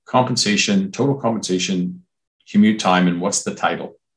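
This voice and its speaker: Lively in intonation, a man with a Canadian accent talks at a fairly low pitch. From Ontario, Canada (Brantford). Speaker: hospitality recruitment executive. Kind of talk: interview.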